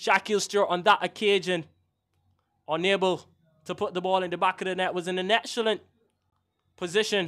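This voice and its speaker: In a Barbadian accent, a man with a high pitch and a bright, sharp tone moves at a fairly quick pace with a monotone, flat intonation and long, frequent pauses, on a very clean recording with a silent background. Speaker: match commentator. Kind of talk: live sports commentary. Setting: outdoor stadium, commentary position.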